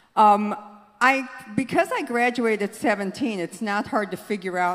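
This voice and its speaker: There is noticeable background noise behind this voice. A woman speaks at medium pitch with an American accent. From Southern California. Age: 60s. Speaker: politician. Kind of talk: speech. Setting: conference hall with audience.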